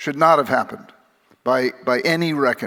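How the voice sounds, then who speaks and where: A man with a fairly high pitch, ordinary pitch variation and a bright, sharp tone. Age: 60s. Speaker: psychiatrist and author. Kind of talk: keynote speech. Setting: stage with audience. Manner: halting.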